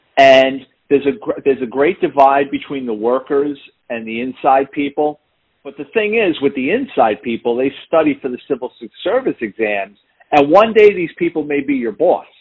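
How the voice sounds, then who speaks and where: With a New York accent, a man speaks at a fairly high pitch and a moderate pace, his intonation lively. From New York City, the Bronx. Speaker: retired police detective and author. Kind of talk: interview. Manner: animated storyteller.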